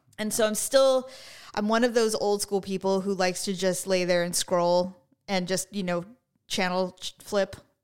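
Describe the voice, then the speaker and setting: Here a woman is talking. Her intonation is fairly even and her pace moderate. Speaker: podcast host. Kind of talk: casual chat.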